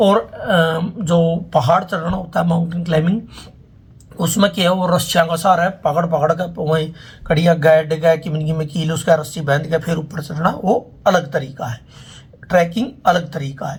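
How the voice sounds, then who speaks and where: With a high pitch and fairly even intonation, a man speaks. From Haryana. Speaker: travel vlogger. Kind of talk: casual talk to camera.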